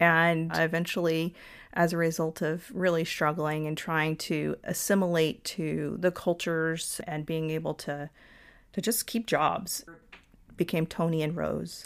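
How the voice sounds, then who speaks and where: On a very clean recording with a silent background, a woman with an American accent speaks at a fairly slow pace and fairly low pitch. Her intonation is fairly even, in an ordinary speaking voice. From US South, Georgia (Lawrenceville). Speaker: engineer. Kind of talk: interview conversation.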